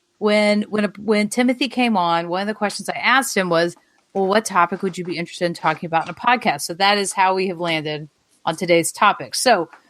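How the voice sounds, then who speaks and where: With an Alabama accent, a woman speaks very fast at medium pitch and with ordinary pitch variation. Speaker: podcast host, school chaplain. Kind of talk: casual podcast chat.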